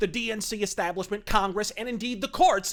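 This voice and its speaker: Fairly quick speech comes through noticeable background noise. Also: man. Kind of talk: political rant to camera. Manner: fast, aggressive, profane.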